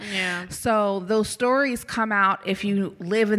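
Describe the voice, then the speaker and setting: Using a normal speaking voice, a woman talks in an American accent. Her pace is fairly slow and her intonation fairly even. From Kansas (Topeka). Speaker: community engagement staff at a university. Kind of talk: casual interview.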